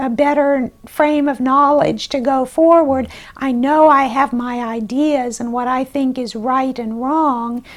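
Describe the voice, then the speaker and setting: Soft-spoken and at a very slow pace, a woman talks in a high pitch with fairly even intonation. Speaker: congressional candidate. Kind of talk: interview. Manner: halting.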